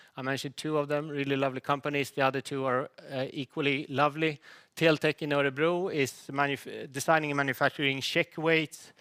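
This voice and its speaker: A man speaks at a fairly quick pace in a bright, sharp tone with a fairly high pitch and flat, monotone intonation, recorded dry and close with no echo on a very clean recording with a silent background. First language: Swedish. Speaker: company CEO presenting to investors. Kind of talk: investor presentation. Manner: halting, with many false starts.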